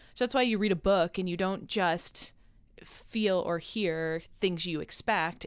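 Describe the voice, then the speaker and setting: With an American accent, a woman speaks at a medium pitch and moderate pace, with ordinary pitch variation, on a very clean recording with a silent background. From Rochester, New York. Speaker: professor of biblical studies. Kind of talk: casual interview chat. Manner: talkative.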